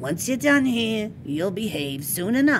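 A female-sounding, gruff put-on character voice at medium pitch for a woman swings very widely in pitch. The pace is fairly slow, with clear background noise behind it. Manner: gruff, stern.

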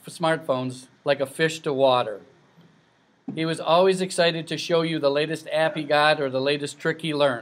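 A man with an American accent speaks at a fairly high pitch. His intonation is fairly even and his pace is moderate. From US Midwest, Illinois. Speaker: nephew of the deceased. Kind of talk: affectionate family eulogy mixing fond anecdotes with gentle humor. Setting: funeral luncheon before gathered family. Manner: warm, chuckling often through his own stories; dry, teasing understatement delivered for laughs. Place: hall.

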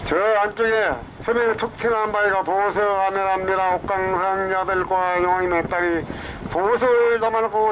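A high-pitched man with a Jeolla accent at a moderate pace, against noticeable background noise. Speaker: tour boat captain. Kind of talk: tour guide commentary. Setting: outdoors, on a boat.

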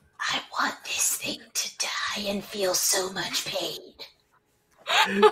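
In a put-on character voice, a raspy, female-sounding voice at a medium pitch moves at a very slow pace. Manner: scary, menacing.

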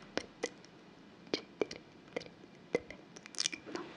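Whispering from a woman, at a very slow pace. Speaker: ASMR creator. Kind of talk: soft-spoken ASMR instructions. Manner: soft close-mic hypnotic countdown. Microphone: studio mic.

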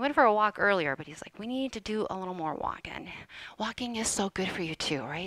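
A woman speaks in a bright, sharp tone. The background is quiet and the sound is dry with no echo. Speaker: fitness instructor. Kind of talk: casual live-stream chat. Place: home room. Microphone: headset.

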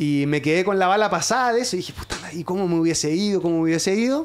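A man at a fairly quick pace with ordinary pitch variation. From southern Chile, Osorno; southern Chile. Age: 40s. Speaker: sports journalist. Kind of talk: casual chat. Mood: relaxed, animated storytelling. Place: studio. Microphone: studio mic.

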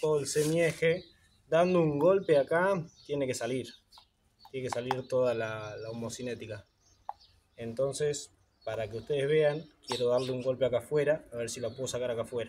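A moderate pace with ordinary pitch variation, over light background noise. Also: man. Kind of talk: tutorial. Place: garage.

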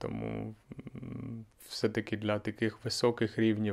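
The speaker is a man of medium pitch. The background is quiet. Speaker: language teacher and podcaster; language teacher vlogger. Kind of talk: casual vlog monologue. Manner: slow; slightly monotone. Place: home room. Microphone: handheld.

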